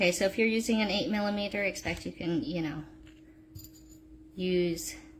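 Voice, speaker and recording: Over noticeable background noise, a woman speaks at a moderate pace and a medium pitch. Her intonation is lively, with long, frequent pauses. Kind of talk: live-stream tutorial. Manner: halting, many fillers and restarts.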